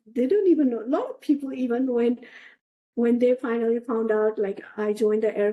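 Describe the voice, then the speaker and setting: With a Nepali accent, a woman speaks in a dark, mellow tone with ordinary pitch variation. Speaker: analog astronaut. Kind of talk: interview.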